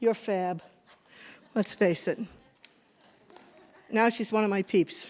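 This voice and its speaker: Someone with a Boston accent speaks at a very slow pace, with long, frequent pauses. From New England. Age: 70s. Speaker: feminist activist. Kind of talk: casual talk on stage. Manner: halting, filler-heavy.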